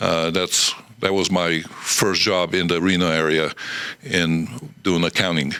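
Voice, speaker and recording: A man with a Romanian accent and a very deep, low pitch talks at a fairly slow pace with long, frequent pauses. His loudness stays very even and his intonation fairly even, over noticeable background noise. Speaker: airport director. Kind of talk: podcast interview.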